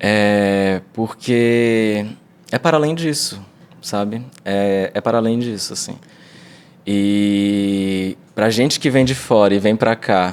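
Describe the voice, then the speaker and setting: With ordinary pitch variation, the delivery unfolds at a very slow pace. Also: man, fairly low pitch for a man. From Brazil, Ceará (Fortaleza area). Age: 20s. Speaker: actor and vocal expression teacher. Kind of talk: casual interview chat.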